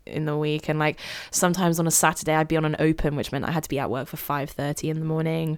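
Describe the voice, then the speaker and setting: With a British accent, the speaker talks at a very fast pace in monotone, flat intonation. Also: woman, very deep, low pitch for a woman. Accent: RP. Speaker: drama student. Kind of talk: casual chat.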